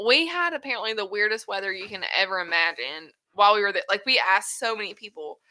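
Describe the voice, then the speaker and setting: A woman at medium pitch with a bright, sharp tone and lively intonation, talking at a very fast pace with hardly any pauses. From US South. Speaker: host's wife, first-time guest. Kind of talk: casual chat. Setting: studio.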